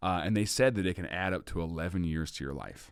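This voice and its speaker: In a very clean recording with a silent background, a man with a very deep, low pitch speaks in an animated tone. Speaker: comedian and podcaster. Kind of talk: casual podcast conversation. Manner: fast.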